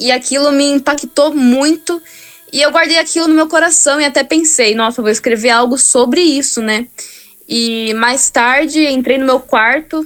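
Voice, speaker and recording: Speaking at a moderate pace with a high pitch, a woman keeps her loudness very even and her pitch variation ordinary, against noticeable background noise. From Brazil, Campinas (São Paulo state). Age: 20s. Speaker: gospel singer. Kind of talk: interview.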